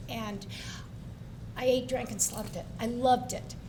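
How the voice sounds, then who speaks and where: In an American accent, a woman speaks at a fairly slow pace with audible room echo. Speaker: tennis coach, hall of fame inductee. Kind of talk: press conference interview.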